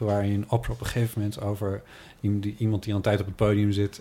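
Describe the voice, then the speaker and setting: A man speaks in a dark, mellow tone. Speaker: podcast host. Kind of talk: casual chat. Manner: stuttering at times.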